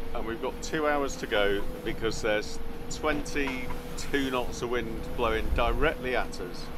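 A man speaks with ordinary pitch variation at a fairly slow pace while noticeable background noise fills the recording. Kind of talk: casual vlog chat. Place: boat. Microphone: phone near.

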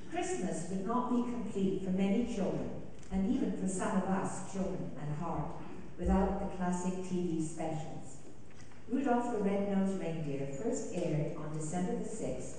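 Strong room echo and light background noise surround a woman speaking at a fairly slow pace with ordinary pitch variation. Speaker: concert announcer. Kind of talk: read announcement. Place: church.

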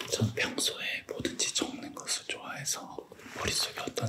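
A man whispering at a fairly slow pace. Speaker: university business professor. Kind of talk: ASMR whispered interview. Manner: whispered. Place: studio. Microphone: studio mic.

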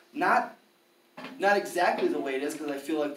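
With an American accent, a man talks at a fairly quick pace and a fairly high pitch, ordinary pitch variation, audible room echo and light background noise. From Milwaukee, Wisconsin; Wisconsin. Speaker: free speech and gun rights activist; debater. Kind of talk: formal debate. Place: classroom. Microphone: camera far.

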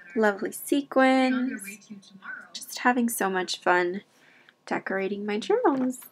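Against noticeable background noise, a woman speaks at a fairly high pitch with lively intonation and big swings in loudness. Her pace is fairly slow, with long, frequent pauses. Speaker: craft vlogger. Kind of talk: narrated craft tutorial.

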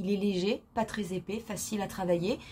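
Somewhat breathy, a woman's voice unfolds at a fairly slow pace. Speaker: beauty vlogger. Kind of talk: casual chat. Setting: video.

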